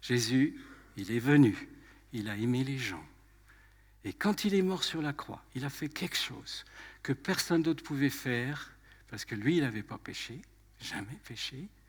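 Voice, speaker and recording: On a very clean recording with a silent background, a man with a fairly high, somewhat breathy voice speaks at a fairly slow pace with lively intonation and long, frequent pauses. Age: 80s+. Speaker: preacher. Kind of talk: sermon.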